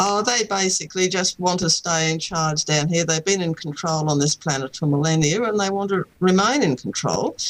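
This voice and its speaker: With an Australian accent, the speaker talks at a moderate pace with hardly any pauses over noticeable background noise. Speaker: author, contact experiencer. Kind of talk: interview.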